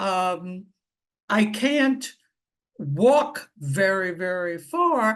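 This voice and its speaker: Her pitch swings very widely as the woman talks. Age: 80s+. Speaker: audience member asking questions. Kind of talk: question from audience.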